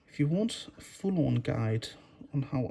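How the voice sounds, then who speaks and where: A man with a Danish accent speaks at a fairly high pitch. His tone is dark and mellow, and somewhat breathy. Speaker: miniature painting youtuber. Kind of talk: tutorial.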